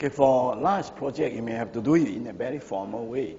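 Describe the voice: Audible room echo surrounds a man speaking at a fairly quick pace, his tone dark and mellow, his pitch medium with ordinary variation.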